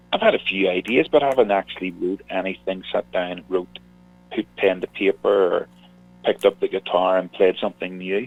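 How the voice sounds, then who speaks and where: A man speaks with a Northern Irish accent. His pace is fairly quick. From Northern Ireland. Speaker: singer-songwriter. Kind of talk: radio interview.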